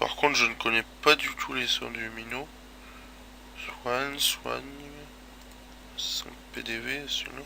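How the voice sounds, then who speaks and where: Noticeable background noise sits behind a man's very slow speech. He takes long, frequent pauses. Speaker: gaming video creator. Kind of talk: gameplay commentary. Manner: casual, hesitant.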